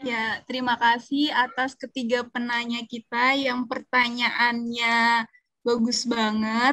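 Over a quiet background, a woman speaks very slowly in a high pitch, her bright, sharp tone dry with no echo. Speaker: event moderator. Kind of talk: moderating. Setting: video call. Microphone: video call.

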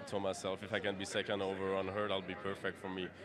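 Noticeable background noise under a man's moderately paced voice, the sound dry without echo. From Quebec. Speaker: harness racing driver. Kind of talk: post-race interview. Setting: racetrack. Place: stadium. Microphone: handheld.

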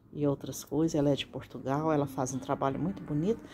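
A woman's very deep, low-pitched voice. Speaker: gardening youtuber. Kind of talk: tutorial.

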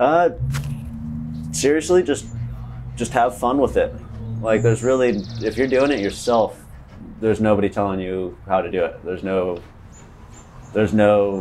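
A man at a fairly low pitch and moderate pace, with long, frequent pauses and light background noise. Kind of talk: interview answer. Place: garage. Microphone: lapel.

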